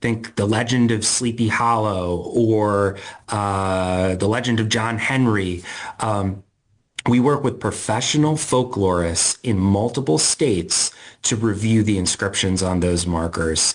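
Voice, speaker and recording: A man speaks in an excited, passionate tone at a fairly slow pace. His pitch is fairly low with ordinary variation, over a quiet background. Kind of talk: interview answer.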